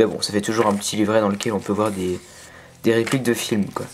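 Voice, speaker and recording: A man speaks fairly quickly while noticeable background noise plays behind him. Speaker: YouTuber reviewing a collector box set. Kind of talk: unboxing video. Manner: hesitant, many fillers.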